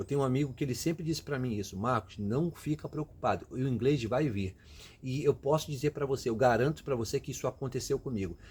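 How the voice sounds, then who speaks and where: Somewhat breathy, a man talks at a fairly quick pace. His pitch is medium, with ordinary variation. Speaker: immigrant career vlogger. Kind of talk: motivational talk. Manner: casual, conversational; halting, repeats words.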